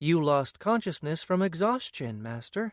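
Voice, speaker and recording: A man in a put-on character voice, high in pitch, at a moderate pace. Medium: read story. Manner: monotone, formal.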